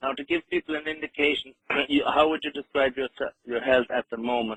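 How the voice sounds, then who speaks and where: With an Irish accent, a man speaks using ordinary pitch variation. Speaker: radio host. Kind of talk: radio interview. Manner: halting.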